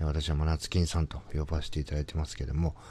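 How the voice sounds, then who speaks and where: This man's very deep, low voice has a dark, mellow tone and vocal fry. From Tokyo, Toshima (Minami-Otsuka). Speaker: company president, podcaster. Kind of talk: solo monologue podcast. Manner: hesitant, many fillers.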